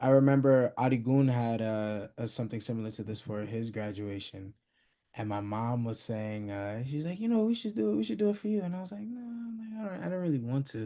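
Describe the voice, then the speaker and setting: A man's voice, dark and mellow in tone, medium in pitch, with lively intonation at a fairly quick pace. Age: young. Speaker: graduate being celebrated. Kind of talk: thank-you speech. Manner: soft-spoken; halting.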